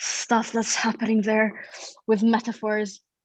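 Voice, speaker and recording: A woman with a Russian accent speaks at a fairly slow pace. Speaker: psychology graduate. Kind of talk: interview.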